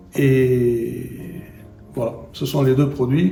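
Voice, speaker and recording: Audible room echo and noticeable background noise surround a man speaking at medium pitch. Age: 60s. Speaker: endodontist and professor. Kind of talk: interview. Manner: hesitant, with fillers and repetitions.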